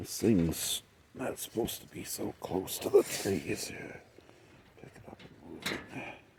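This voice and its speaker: A soft-spoken man whispers at a fairly slow pace. His loudness swings widely. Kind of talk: ASMR whispered tour narration. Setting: outdoors, poolside yard in rainy weather. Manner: whispered, soft-spoken.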